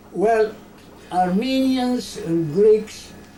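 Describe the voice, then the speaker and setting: A woman speaks at a very slow pace, her voice carrying audible room echo. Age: 90s. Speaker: genocide survivor and author. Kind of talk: interview. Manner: halting.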